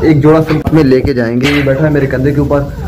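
Delivered in a monotone, flat intonation, the voice comes through over noticeable background noise. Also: man. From Punjab, Pakistan. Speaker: vlogger. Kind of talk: vlog walkthrough. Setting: outdoors; indoors. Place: garden. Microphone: phone near.

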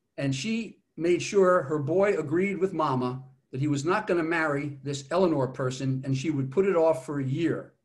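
This man's voice is somewhat breathy, with ordinary pitch variation. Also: quiet background. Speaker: speaker. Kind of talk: lecture. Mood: lively storytelling. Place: home room. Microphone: video call.

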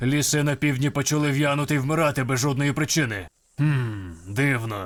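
In a very clean recording with a silent background, a man uses a put-on character voice at a medium pitch. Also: moderate pace. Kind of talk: comic overacting. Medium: fan dub. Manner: gruff, terse, self-serious.

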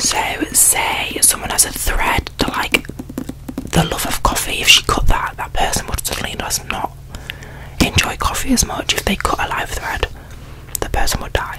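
Whispering, soft-spoken delivery at a moderate pace. Loud background noise sits behind the voice. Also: woman. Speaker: book reviewer. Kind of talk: casual vlog chat. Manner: soft close-mic ASMR whisper. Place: home room. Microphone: studio mic.

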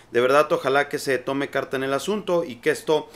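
A man talking at a moderate pace. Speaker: political commentator. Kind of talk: commentary. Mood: indignant, critical. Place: home room.

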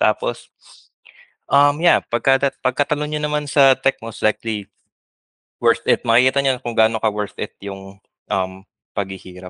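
A bright, sharp-toned voice with ordinary pitch variation and long, frequent pauses, recorded dry with no echo against a quiet background. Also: man. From Philippines. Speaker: software engineer; podcast guest. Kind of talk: interview. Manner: halting. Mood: cheerful, laughing. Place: home room. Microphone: headset.

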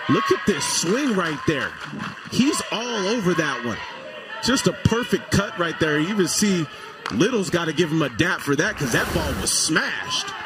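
A man's high-pitched, lively voice at a moderate pace, with noticeable background noise. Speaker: baseball color commentator. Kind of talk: live sports commentary.

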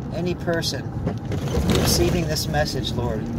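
Loud background noise sits behind a man speaking at a fairly slow pace. The sound is dry with no echo. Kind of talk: spoken-word poem then fervent prayer and exhortation. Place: car. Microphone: phone near.

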